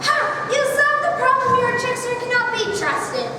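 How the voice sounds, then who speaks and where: A woman does a put-on character voice at an extremely high pitch. Strong echo and loud background noise surround her. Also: moderate pace. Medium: stage play. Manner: sly, wheedling.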